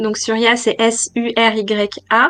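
Fairly even intonation pairs with a bright, sharp tone. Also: woman. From France, Nantes. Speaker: entrepreneur, interior designer. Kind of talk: interview. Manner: halting.

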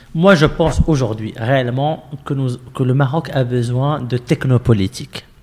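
With hardly any pauses, a man talks at a fairly quick pace in a somewhat breathy, medium-pitched voice with ordinary pitch variation. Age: 30s. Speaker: civic movement founder. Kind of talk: interview conversation. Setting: movement headquarters.

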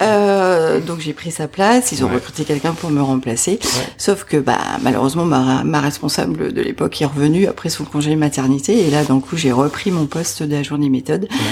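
With noticeable background noise, a woman talks at a moderate pace with hardly any pauses, her very deep, low pitch carried by lively intonation. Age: 50s. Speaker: entrepreneur. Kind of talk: interview. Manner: hesitant, with fillers.

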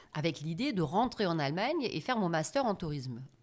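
On a very clean recording with a silent background, a woman with a fairly low pitch speaks at a fairly quick pace. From Germany. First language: German (speaking French). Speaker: business trainer and coach. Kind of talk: interview.

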